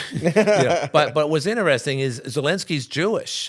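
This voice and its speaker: Lively intonation in a New York accent at a moderate pace, with a very clean recording and silent background. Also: man. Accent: New York City. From New York City, Queens. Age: 60s. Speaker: radio and TV talk show host. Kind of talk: casual interview about politics. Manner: halting, many restarts and fillers.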